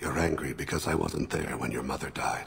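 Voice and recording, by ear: Against faint background noise, a put-on character voice with vocal fry and a fairly bright tone moves at a fairly quick pace with fairly even intonation. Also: man, extremely low pitch for a man.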